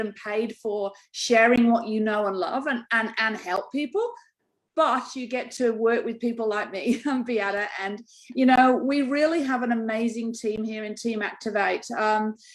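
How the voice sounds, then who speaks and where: A woman speaks with an English accent at a high pitch. Her pace is fairly slow and her pitch variation ordinary. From England. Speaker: network marketing distributor. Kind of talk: casual business pitch. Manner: chatty.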